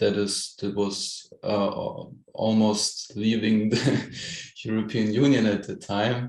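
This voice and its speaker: Speaking very slowly with a German accent, a man uses a medium pitch while audible room echo surrounds him. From Germany. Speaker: film director. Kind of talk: interview. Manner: halting.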